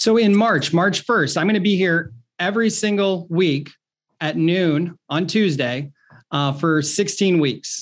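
Against a quiet background, a man with an American accent speaks at a high pitch with ordinary pitch variation and very even loudness. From Ohio. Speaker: real estate marketing coach. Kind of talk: webinar presentation.

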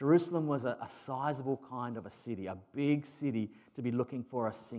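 An unforced reading voice is what the clip holds.

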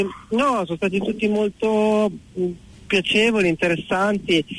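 Speaking very slowly in a high voice, a man keeps his loudness very even, and the sound is dry and close with no echo. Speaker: motorcycle traveller. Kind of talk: phone interview.

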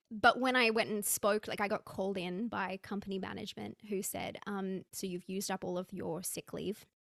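Recorded dry and close with no echo against a silent background, a woman with an Australian accent speaks at a medium pitch and moderate pace, with vocal fry, fairly even intonation and hardly any pauses. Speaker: personal branding coach. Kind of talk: interview conversation.

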